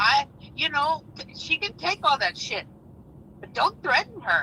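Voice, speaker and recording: Noticeable background noise sits behind this woman's voice. She talks at a fairly slow pace, her pitch extremely high. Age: 60s. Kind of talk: heated debate. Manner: animated, emphatic.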